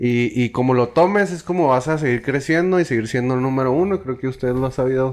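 At a very fast pace and with hardly any pauses, a man speaks at a medium pitch with ordinary pitch variation. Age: 30s. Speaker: podcast host. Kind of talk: casual interview.

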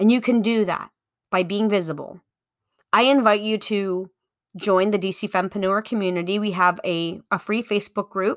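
A woman with an unremarkable speaking voice talks at a moderate pace and medium pitch with fairly even intonation. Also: very clean recording, silent background. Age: 40s. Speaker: podcast host and business coach. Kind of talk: solo instructional talk.

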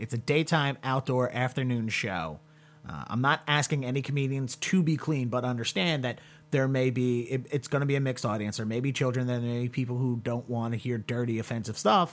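The speaker has a plain, everyday voice with an American accent. The pace is fairly quick. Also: man, medium pitch for a man, ordinary pitch variation. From US Mid-Atlantic. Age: 30s. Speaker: podcast host and comedian. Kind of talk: casual interview.

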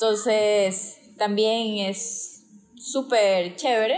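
A woman with a coastal Ecuadorian accent and a fairly high pitch. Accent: coastal Ecuadorian accent noticed by locals. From Guayaquil, Ecuador. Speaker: dentist. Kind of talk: casual interview.

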